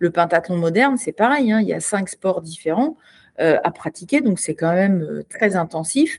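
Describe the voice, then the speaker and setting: Over a quiet background, a woman speaks at a fairly slow pace in a somewhat breathy voice with very wide pitch swings, the sound dry and close with no echo. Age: 50s. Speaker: retired Olympic sport shooter. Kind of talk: casual interview. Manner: hesitant, many repetitions.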